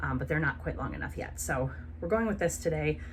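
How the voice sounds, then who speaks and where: A woman talks at a very fast pace. Room echo is audible and background noise is noticeable. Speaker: lifestyle vlogger. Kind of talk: casual vlog monologue.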